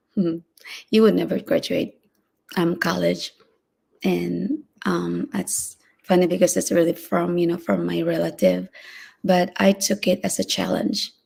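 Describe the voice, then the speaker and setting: Speaking at a moderate pace, a woman talks. She has a non-native accent. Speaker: live-stream motivational vlogger. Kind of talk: solo live stream talk. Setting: home live stream, early morning. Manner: hesitant, many fillers.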